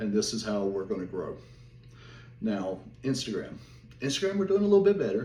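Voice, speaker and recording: An American-accented man speaks with long, frequent pauses, and audible echo fills the room. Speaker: small business owner, card seller. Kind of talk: casual vlog monologue. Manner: more energetic, not talking as slow.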